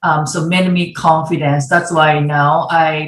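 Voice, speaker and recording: A woman's very deep, low voice, somewhat breathy, with fairly even intonation, a fairly slow pace, and a Japanese accent. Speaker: former ice hockey goaltender and designer. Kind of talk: virtual panel discussion. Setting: video call. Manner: halting.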